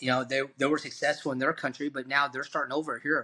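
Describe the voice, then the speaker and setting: His voice fairly high and bright, sharp in tone, a man speaks in a monotone, flat intonation. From Vietnam. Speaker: podcast host. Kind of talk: interview. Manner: halting.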